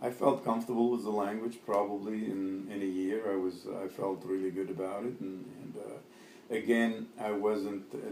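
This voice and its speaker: There is noticeable background noise as a man talks at a moderate pace. His pitch is fairly low and his intonation fairly even. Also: hardly any pauses. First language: Arabic. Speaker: immigrant interviewee. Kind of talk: oral history interview. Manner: halting, many fillers.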